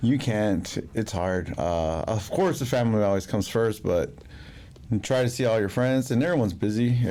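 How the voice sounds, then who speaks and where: A man mumbles at a moderate pace in a dark, mellow tone, his medium pitch carrying lively intonation at very even loudness. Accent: American. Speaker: podcast guest. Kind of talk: casual chat. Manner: mumbling.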